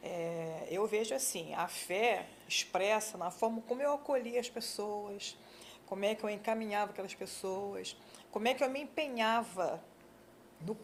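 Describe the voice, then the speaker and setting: A woman with an ordinary speaking voice talks at a moderate pace in a fairly high pitch. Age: 60s. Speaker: social worker and church deaconess. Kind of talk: interview.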